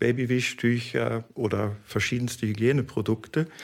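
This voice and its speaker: The man's medium-pitched voice sits on a very clean recording with a silent background. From Germany, Cologne. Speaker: fibre industry business development manager. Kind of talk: interview. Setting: on campus at a research institute.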